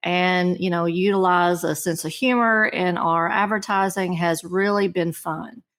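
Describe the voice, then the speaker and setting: The speaker's intonation stays fairly even at a fairly slow pace. The recording is very clean, with a silent background. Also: woman. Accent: slight Kentucky. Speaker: marketing director. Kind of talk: interview.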